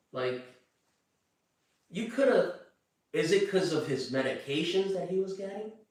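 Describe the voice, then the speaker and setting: A man with a high pitch speaks at a moderate pace with lively intonation and long, frequent pauses. Audible room echo surrounds his voice. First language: Chinese. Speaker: true crime commentator. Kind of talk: casual commentary monologue. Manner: halting, repeats words.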